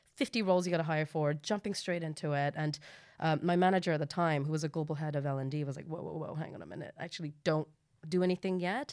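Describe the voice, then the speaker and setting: Her voice is very deep and low for a woman, with fairly even intonation. She speaks at a very fast pace. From Hong Kong. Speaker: recruitment leader. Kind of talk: casual chat.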